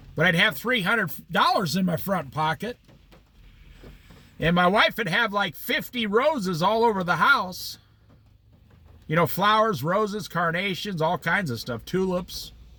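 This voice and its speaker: A man's raised, projected voice in an American accent, high in pitch, bright and sharp, with an animated tone, lively intonation, a fairly slow pace and long, frequent pauses. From Iowa, US Midwest. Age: 60s. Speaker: Bible study teacher. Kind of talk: Bible study talk.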